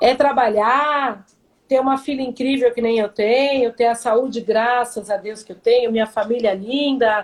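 Her voice is high in pitch, with fairly even intonation. The woman speaks at a fairly slow pace. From São Paulo, Brazil. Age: 50s. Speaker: volunteer NGO leader. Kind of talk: casual interview. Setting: Instagram live video call.

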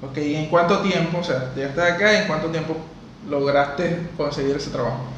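A man with a Venezuelan accent, fairly high pitch, ordinary pitch variation and a fairly quick pace, with audible room echo and noticeable background noise. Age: 20s. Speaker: podcast host. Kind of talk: interview.

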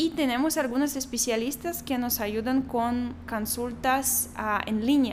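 A woman with a high-pitched voice speaks at a fairly slow pace, her intonation fairly even and her loudness very even, with audible room echo. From Belarus. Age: 20s. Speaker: doctor. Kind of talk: interview.

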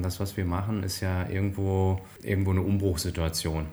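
Through noticeable background noise comes a man with a very deep, low pitch. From northern Hesse, Germany (Bad Hersfeld). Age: 40s. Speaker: management consultant. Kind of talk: interview conversation. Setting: office with interviewer in the same room.

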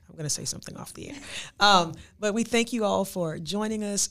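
A normal speaking voice at a moderate pace, ordinary pitch variation, and a very clean recording with a silent background. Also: woman. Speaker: podcast co-host. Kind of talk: casual interview conversation. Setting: studio.

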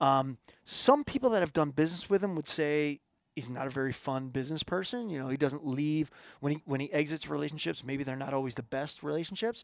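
A man speaks in a normal speaking voice at a fairly quick pace, his fairly high pitch varying in an ordinary way, with an American accent. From Philadelphia, US. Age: 40s. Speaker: outdoor marketing and television producer, former touring musician. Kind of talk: casual podcast interview. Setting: home studio.

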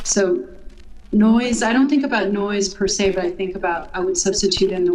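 A woman with a New York accent speaks with very wide pitch swings, over noticeable background noise and audible room echo. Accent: New York American. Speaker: composer and artist. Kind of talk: interview.

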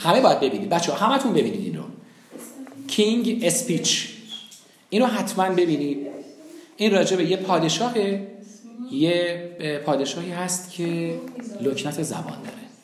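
With noticeable background noise, a man talks at a moderate pace in a high voice with lively intonation. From Iran, raised in several cities. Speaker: public speaking teacher. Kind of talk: lecture. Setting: classroom with students. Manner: animated.

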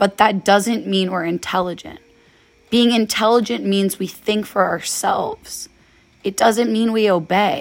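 The speaker uses a fairly slow pace with ordinary pitch variation. It is an unremarkable speaking voice. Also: woman, medium pitch for a woman. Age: 20s. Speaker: solo podcaster. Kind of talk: personal monologue. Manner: casual, rambling.

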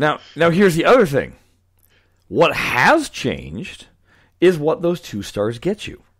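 A man with a fairly high pitch and vocal fry speaks at a fairly slow pace, his pitch swinging very widely and his loudness shifting greatly, with long, frequent pauses. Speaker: podcast host. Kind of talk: casual chat.

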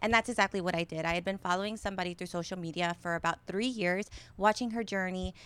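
In an American accent, a woman speaks in an animated tone on a very clean recording with a silent background. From Florida, Tampa Bay area. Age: 30s. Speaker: small business owner. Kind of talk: interview.

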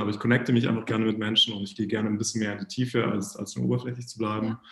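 With medium pitch and fairly even intonation, a man speaks. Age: 30s. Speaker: guest sharing personal life experience. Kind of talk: casual interview chat.

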